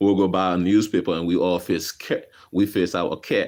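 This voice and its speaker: An animated man with a very deep, low pitch and a Liberian accent, at a moderate pace. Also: quiet background. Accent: Liberian accent, still noticeable. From Liberia (West Point, Monrovia). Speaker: vlogger. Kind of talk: casual storytelling vlog. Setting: garage. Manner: casual, animated.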